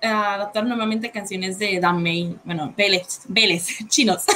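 At a fairly slow pace, a woman speaks at medium pitch with a bright, sharp tone. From Puerto Rico. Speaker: podcast co-host, cover singer. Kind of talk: casual chat. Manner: sounds harsh, as if angry.

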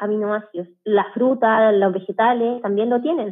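A woman speaks at a moderate pace with a fairly high pitch. She has an ordinary speaking voice. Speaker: medical doctor. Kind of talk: casual interview.

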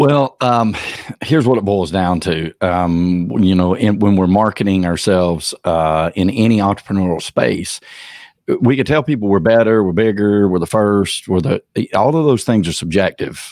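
A man with a Southern US accent talks at a moderate pace in a fairly low pitch, with ordinary pitch variation and very even loudness. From Georgia, US South. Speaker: personal branding consultant. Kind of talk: interview conversation. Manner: halting, many fillers.

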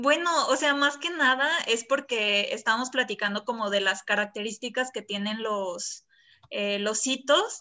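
In an ordinary speaking voice, a woman talks at a fairly slow pace, her fairly high pitch showing ordinary variation. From Colima, Mexico. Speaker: architecture student. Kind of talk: casual chat.

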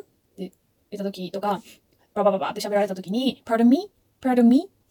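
A woman's fairly high, dark, mellow voice with ordinary pitch variation, in a dry, close sound with no echo. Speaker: travel vlogger. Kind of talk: tutorial. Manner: hesitant, with many fillers.

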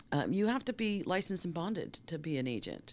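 Talking at a fairly quick pace with an American accent, a woman uses very wide pitch swings and vocal fry on a very clean recording with a silent background. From US Northeast, Boston. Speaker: talent manager. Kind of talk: interview conversation.

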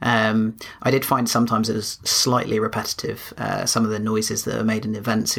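Talking at a fairly quick pace over noticeable background noise, this man keeps a monotone, flat intonation. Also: medium pitch for a man. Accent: English. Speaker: podcast co-host.

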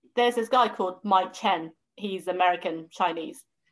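This is a woman's voice. She speaks with a southern English accent. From southern England. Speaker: food blogger. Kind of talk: casual chat.

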